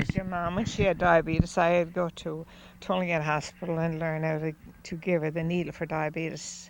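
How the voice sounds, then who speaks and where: A woman with a Newfoundland accent talks fairly quickly at a fairly low pitch. Her intonation is monotone and flat. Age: 80s+. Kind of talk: interview answer. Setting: outdoors.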